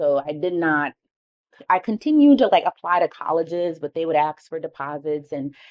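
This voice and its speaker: This woman has a strong New York accent and a very deep, low pitch. She talks at a fairly quick pace with ordinary pitch variation. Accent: thick New York. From New York City, Harlem. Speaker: keynote speaker. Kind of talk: keynote talk.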